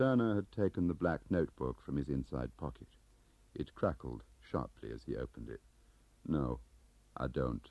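With a very deep, low pitch, vocal fry and a dark, mellow tone, a man talks at a moderate pace with lively intonation and long, frequent pauses, in a dry sound with no echo. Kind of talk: audiobook narration of a spy novel. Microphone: old recording.

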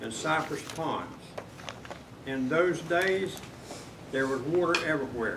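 Speaking at a very slow pace, a man with a Southern US accent uses a fairly high pitch, and noticeable background noise runs underneath. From north Florida. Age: 80s+. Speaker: retired meat business worker. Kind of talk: public comment at county meeting.

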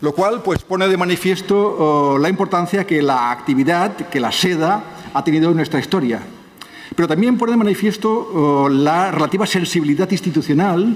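This man speaks at a high pitch with very even loudness. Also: ordinary pitch variation, moderate pace. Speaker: conference lecturer. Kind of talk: lecture. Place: hall.

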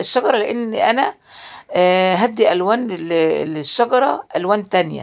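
Lively intonation runs through this voice with an Egyptian accent. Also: woman. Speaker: DIY crafts youtuber. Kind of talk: tutorial. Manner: casual, hesitant with fillers.

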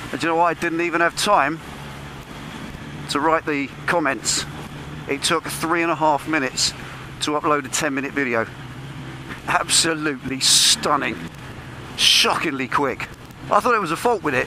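With noticeable background noise but a dry sound and no echo, a man speaks with long, frequent pauses. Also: ordinary pitch variation, moderate pace. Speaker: motorbike rider vlogger. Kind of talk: casual vlog chat. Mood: pleased, enthusiastic. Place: motorbike.

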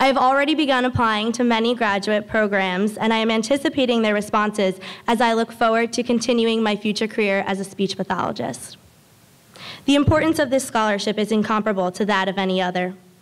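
At a very fast pace, a woman talks with very even loudness. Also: ordinary pitch variation. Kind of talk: formal speech. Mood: grateful, earnest. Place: hall. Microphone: podium.

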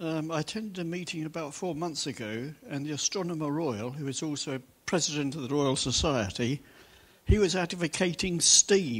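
A man with a plain, everyday voice and lively intonation, at a moderate pace. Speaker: audience member. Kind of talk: audience question. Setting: stage with audience. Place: hall.

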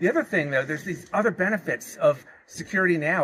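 A man's high-pitched, bright and sharp voice at a very fast clip, over light background noise. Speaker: security consultant. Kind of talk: panel interview. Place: open country.

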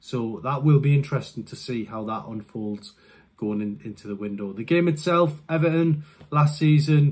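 Speaking at a moderate pace with few pauses, a man uses ordinary pitch variation. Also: medium pitch for a man, slightly mellow tone.

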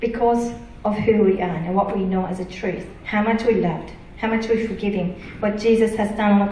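Speaking at a moderate pace with a Japanese accent, a woman uses a medium pitch and ordinary pitch variation, with audible room echo and light background noise. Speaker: preacher. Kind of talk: sermon. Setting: church. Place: church.

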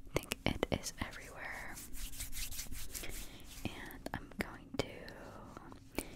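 A soft-spoken woman talks at a very slow pace over loud background noise. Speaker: ASMR creator. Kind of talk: soft-spoken ASMR role play. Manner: soft, hushed close-mic ASMR voice. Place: home room. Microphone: studio mic.

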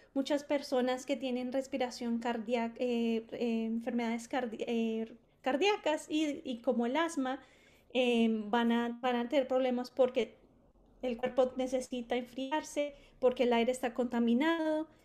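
A woman's high voice at a fairly slow pace, with fairly even intonation. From Colombia. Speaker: community climate program facilitator. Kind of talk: workshop presentation. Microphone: video call.

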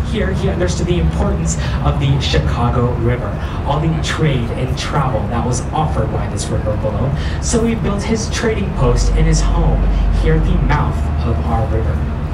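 At a moderate pace, the voice competes with loud background noise. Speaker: tour guide. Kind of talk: guided tour commentary. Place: boat.

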